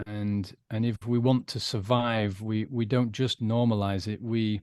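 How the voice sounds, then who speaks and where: In a dry, close sound with no echo and a quiet background, a man with a British accent speaks at a fairly slow pace, his fairly low pitch held in fairly even intonation. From UK. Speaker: recovered alcoholic, former adman. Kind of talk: interview testimony.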